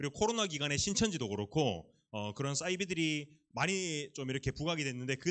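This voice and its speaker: A man talks at a very fast pace with very wide pitch swings. His pitch sits fairly high. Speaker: youth pastor. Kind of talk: sermon.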